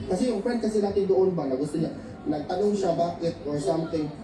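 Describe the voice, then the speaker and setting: A loud man with a high pitch, talking at a very fast pace with ordinary pitch variation, amid audible room echo and noticeable background noise. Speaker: event organizer. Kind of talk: interview.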